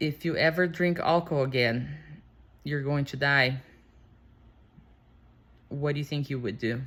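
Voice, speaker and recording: A woman with a non-native accent speaks at a very deep, low pitch and a moderate pace. Her intonation is fairly even, broken by long, frequent pauses. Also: very clean recording, silent background. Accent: non-native English speaker. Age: 40s. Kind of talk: casual unscripted talk to camera.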